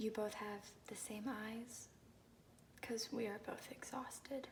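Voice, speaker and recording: Very slowly and softly, someone talks while background noise stays clearly present. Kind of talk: soft-spoken ASMR poetry reading. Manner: soft-spoken, calming.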